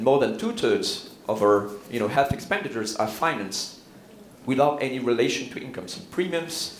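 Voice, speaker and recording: A man with a Swiss French accent speaks at a moderate pace with lively intonation. Noticeable background noise and audible room echo surround him. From Switzerland, Neuchâtel (French-speaking). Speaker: health economist, professor. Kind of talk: conference keynote. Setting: conference stage with audience. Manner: hesitant, many fillers.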